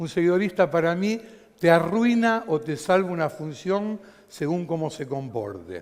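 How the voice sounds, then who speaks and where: High-pitched man's voice, fairly slow pace, lively intonation. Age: 60s. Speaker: stage lighting designer. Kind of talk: conference talk.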